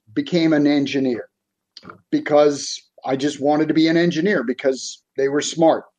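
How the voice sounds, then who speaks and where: A fairly high-pitched man with a Boston accent and fairly even intonation. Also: long, frequent pauses. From South Boston, Massachusetts. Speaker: executive coach. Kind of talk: interview.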